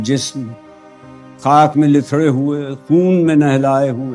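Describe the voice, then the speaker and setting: Music plays in the background. Over it, a man talks with a fairly high pitch. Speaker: actor and reciter. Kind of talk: poetry reading. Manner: emotional, soulful.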